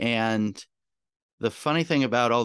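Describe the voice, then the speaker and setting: With a quiet background behind him, a man talks at a moderate pace using ordinary pitch variation. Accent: New England. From central Massachusetts. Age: 30s. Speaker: sailor and marine industry podcaster. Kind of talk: casual interview.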